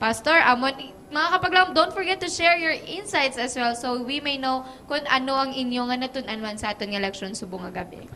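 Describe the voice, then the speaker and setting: A woman speaks in a raised, projected voice at a high pitch, with lively intonation. Her pace is moderate, and light background noise is present. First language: Hiligaynon (speaking Tagalog). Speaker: program host. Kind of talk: live program hosting. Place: studio. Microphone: handheld.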